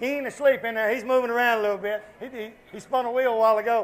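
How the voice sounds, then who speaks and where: Someone with a Southern US accent talks very fast with fairly even intonation. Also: man. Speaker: car show host. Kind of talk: casual on-location chat. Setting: outdoors at a street fan fair.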